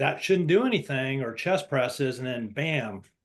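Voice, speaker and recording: A man talks at a fairly slow pace with lively intonation in an unremarkable speaking voice. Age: 60s. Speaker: coaching student. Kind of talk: casual group discussion. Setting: video call.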